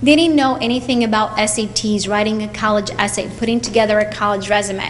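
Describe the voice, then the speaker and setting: Noticeable background noise and audible room echo surround a woman speaking with ordinary pitch variation. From Portugal. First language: Portuguese. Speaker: college advisor. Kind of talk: speech to students at school event.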